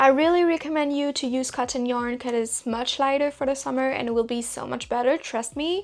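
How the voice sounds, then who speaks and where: A woman with a high pitch, ordinary pitch variation and a slight French accent. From Belgium. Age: 20s. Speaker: crochet content creator. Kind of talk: tutorial.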